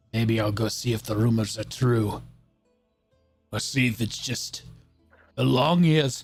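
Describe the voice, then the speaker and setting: Faint music behind a man's raspy, put-on character voice at medium pitch, fairly slow with long, frequent pauses and ordinary pitch variation. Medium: actual play. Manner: terse, gruff.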